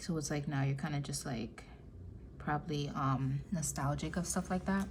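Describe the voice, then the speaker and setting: A woman's vocal fry at a moderate pace, with ordinary pitch variation, very even loudness and audible room echo. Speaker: tarot reader. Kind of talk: tarot reading monologue. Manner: casual, filler-heavy.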